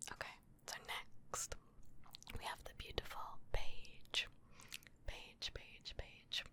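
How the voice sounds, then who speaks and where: Someone whispers at a very slow pace, with long pauses coming often. The loudness swings widely from moment to moment. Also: woman. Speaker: ASMR creator. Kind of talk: ASMR whispered reading of viewer messages. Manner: whispering; soft-spoken.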